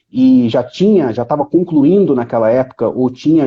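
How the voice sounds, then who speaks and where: A man speaks with a Rio de Janeiro accent. His pitch varies in an ordinary way. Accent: carioca. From Brazil, Rio de Janeiro. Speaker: economist, professor. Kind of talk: live stream conversation.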